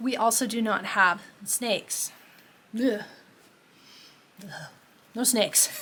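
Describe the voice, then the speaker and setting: A woman speaks in a bright, sharp tone. Her intonation is fairly even. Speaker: cross stitch vlogger and chart designer. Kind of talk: casual vlog chat. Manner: fast.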